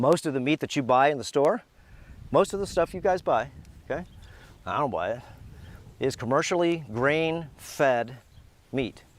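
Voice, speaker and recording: Using lively intonation and an animated tone, a man with a fairly high voice talks at a moderate pace. Long, frequent pauses break up his speech. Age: 60s. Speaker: health educator and retreat host. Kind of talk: casual video talk.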